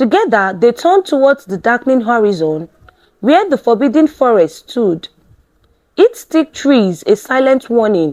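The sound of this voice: With big pitch swings and a slightly mellow tone, the voice moves at a fairly slow pace. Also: woman, fairly high pitch for a woman.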